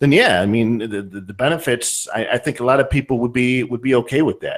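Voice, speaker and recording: Speaking at a fairly quick pace with an American accent, a man shows ordinary pitch variation. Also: medium pitch for a man. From US, northern Ohio. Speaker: podcast host. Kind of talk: casual chat.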